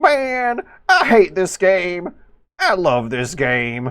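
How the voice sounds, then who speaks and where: Very slowly, a man performs a put-on character voice, high in pitch with very wide pitch swings. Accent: Southern US. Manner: aggressive, ranting.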